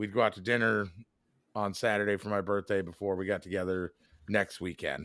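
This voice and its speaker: Very clean recording with a silent background, where a man with an ordinary speaking voice talks at a moderate pace in a fairly low pitch. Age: 40s. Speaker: podcast co-host. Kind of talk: casual chat.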